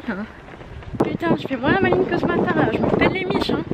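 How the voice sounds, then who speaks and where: Noticeable background noise sits under the recording. Over it, a woman speaks very fast. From Bordeaux, France. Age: 20s. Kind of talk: casual vlog talk to camera. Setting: outdoors. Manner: casual, slangy, chatty.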